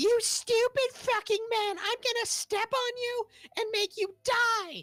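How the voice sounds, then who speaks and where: Shrill and squeaky, a put-on character voice at an extremely high pitch speaks at a fairly slow pace. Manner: aggressive, angry, threatening.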